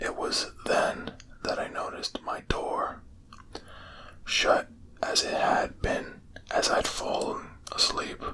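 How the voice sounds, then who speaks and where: Whispering at a very slow pace, a man leaves long, frequent pauses over noticeable background noise. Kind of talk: sleep story. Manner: whispered.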